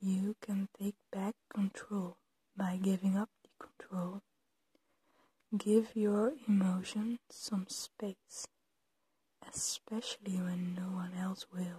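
The speaker is soft-spoken, with a gentle tone, a very slow pace and long, frequent pauses. The sound is dry with no echo, over a quiet background. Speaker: ASMR creator. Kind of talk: ASMR supportive soft-spoken talk to camera. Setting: poor audio quality, home recording. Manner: soft-spoken, gentle, comforting. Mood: gentle, comforting.

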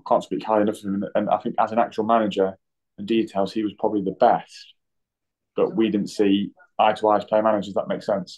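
A man with an East Midlands accent, fairly low in pitch, at a very fast pace. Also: fairly even intonation, quiet background. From Nottingham, England. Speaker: professional footballer (goalkeeper). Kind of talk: interview. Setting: hotel room, remote call. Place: home room. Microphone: video call.

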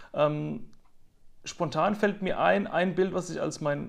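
With a quiet background, a man speaks in a high pitch. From Mannheim, Germany; Germany. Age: 30s. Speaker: nature photographer; interviewee. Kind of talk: interview. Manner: frequent hesitations. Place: home room. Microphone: earbuds.

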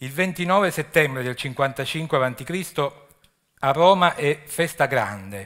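Against a quiet background, a man speaks very slowly with lively intonation at a fairly high pitch, leaving long, frequent pauses. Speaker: archaeology official. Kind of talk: lecture. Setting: stage with audience. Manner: halting. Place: stage. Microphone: podium.

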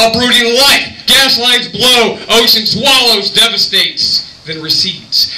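A man speaks in a raised, projected voice with very wide pitch swings. Audible room echo fills the recording. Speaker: poet. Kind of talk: poetry slam performance. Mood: dramatic, intense. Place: bar. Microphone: camera far.

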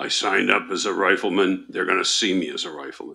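A man rattles off lines at a very fast pace in a raspy, put-on character voice. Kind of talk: blunt, plain.

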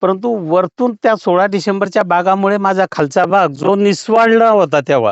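Using lively intonation, a man speaks in a high voice. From Jalgaon district, Maharashtra. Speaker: farmer. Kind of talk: testimony. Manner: halting.

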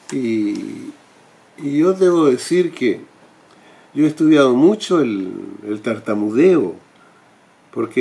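The man's pace is very slow. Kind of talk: direct-to-camera talk. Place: home room.

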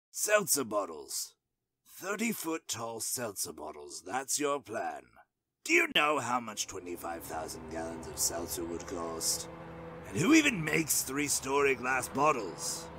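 A man's put-on character voice, raspy, at a medium pitch and a fairly slow pace. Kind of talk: animated cartoon voice acting. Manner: gloomy, sulking, sarcastic.

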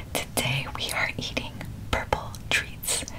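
A woman is whispering. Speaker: food vlogger. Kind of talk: casual vlog chat. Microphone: phone near.

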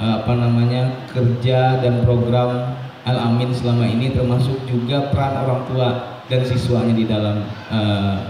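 A man speaks at a moderate pace with very even loudness. Audible room echo and light background noise surround him. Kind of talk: welcome speech. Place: hall.

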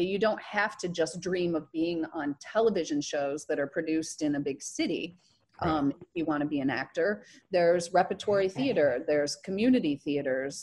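A plain, everyday voice, a woman with an American accent speaks at a moderate pace in a fairly low pitch with lively intonation. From US Midwest, rural southern Michigan. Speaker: actress and burlesque performer. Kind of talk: interview.

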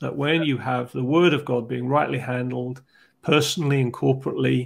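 Vocal fry runs through this man's speech. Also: quiet background. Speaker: podcast host. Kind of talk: explanatory discussion. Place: home room. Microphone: earbuds.

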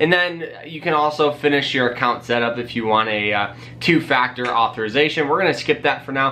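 A man speaks at a fairly quick pace in an upbeat, energetic tone with ordinary pitch variation. There are hardly any pauses, and light background noise sits behind him. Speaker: personal finance YouTuber. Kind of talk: casual vlog tutorial. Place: home room.

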